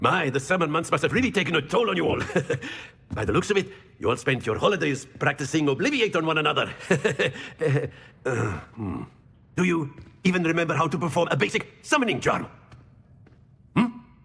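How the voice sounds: Doing a put-on character voice, a man talks at a moderate pace with a fairly high pitch, big pitch swings, vocal fry, a fairly bright tone and long, frequent pauses.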